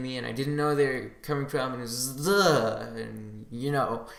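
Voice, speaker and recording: Audible room echo surrounds a man who talks fairly quickly at a medium pitch, his intonation fairly even. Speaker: gaming podcast host. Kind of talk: casual solo podcast. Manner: halting, many restarts.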